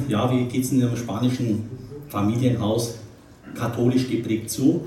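Noticeable background noise and audible room echo accompany a man speaking at a moderate pace in a slight Franconian accent. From Nuremberg, Franconia, Germany. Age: 50s. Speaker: retired investment banker giving a life-story talk. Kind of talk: testimony talk.

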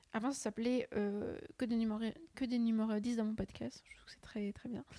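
Her voice is fairly high in pitch, with a dark, mellow tone. This woman keeps her intonation fairly even. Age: 20s. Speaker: student podcaster. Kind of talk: casual solo chat. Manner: hesitant, many fillers.

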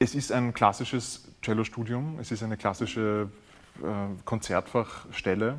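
A man talks at a fairly slow pace in a normal speaking voice. His pitch varies an ordinary amount, and the background is quiet. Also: medium pitch for a man. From Austria, Vienna. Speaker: cellist and composer. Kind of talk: interview.

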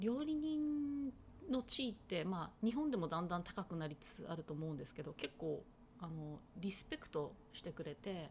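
Very wide pitch swings run through this woman's speech. There is a somewhat breathy quality to it. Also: medium pitch for a woman, moderate pace. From Tochigi, Japan. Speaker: chef, soba maker. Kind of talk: interview.

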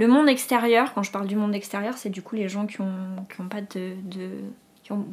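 In a plain, everyday voice, a woman speaks at a fairly quick pace with fairly high pitch and fairly even intonation. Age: 30s. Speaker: dental technology trainer sharing eczema experience. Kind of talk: testimony.

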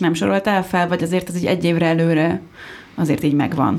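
Amid noticeable background noise, a woman speaks at a fairly quick pace with fairly even intonation. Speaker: podcast co-host. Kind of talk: panel discussion. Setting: studio.

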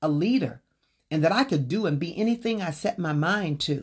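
A woman's fairly low-pitched, somewhat breathy voice with an American accent, animated tone, lively intonation and fairly quick pace. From US South. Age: 60s. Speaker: podcast host and author. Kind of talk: reading aloud from own book; casual monologue.

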